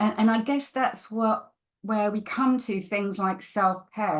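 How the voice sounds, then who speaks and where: With music behind her, a woman talks at a fairly slow pace. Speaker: podcast host, stress management coach. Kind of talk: casual interview conversation.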